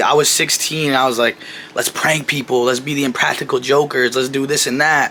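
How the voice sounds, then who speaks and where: Noticeable background noise sits behind this recording. A man talks at a fairly quick pace and a fairly high pitch. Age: 20s. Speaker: new YouTuber. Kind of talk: personal vlog monologue. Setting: talking to camera. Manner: casual, conversational.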